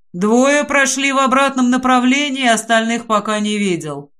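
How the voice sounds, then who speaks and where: A man projects a raised, put-on character voice at an extremely high pitch. He keeps a moderate pace. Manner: monotone, flat.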